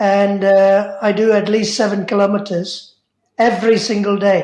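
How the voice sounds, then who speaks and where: A woman at a medium pitch and moderate pace, monotone and flat, with very even loudness and audible room echo. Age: 70s. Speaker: memoir subject. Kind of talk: interview.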